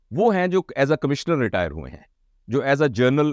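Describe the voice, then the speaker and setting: Lively intonation marks an ordinary speaking voice, heard over a quiet background with a dry, close sound and no echo. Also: man. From Pakistan. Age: 60s. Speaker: motivational speaker. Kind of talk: lecture.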